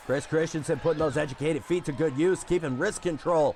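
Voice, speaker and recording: A man's voice shows ordinary pitch variation against noticeable background noise. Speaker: wrestling commentator and stream host. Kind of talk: live commentary. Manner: loud; animated.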